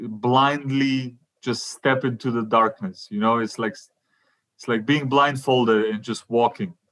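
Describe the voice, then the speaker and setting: A man speaks with a Macedonian accent at a fairly slow pace. His pitch is medium and his intonation fairly even. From North Macedonia. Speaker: stand-up comedian. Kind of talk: interview.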